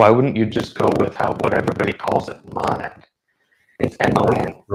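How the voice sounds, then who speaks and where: A man puts on a robotic character voice at medium pitch. He keeps a moderate pace. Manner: flat, mechanical.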